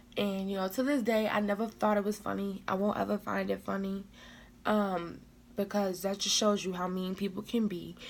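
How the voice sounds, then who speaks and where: Animated in tone, a woman talks at a fairly quick pace and medium pitch. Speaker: vlogger. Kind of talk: storytime vlog. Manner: loud.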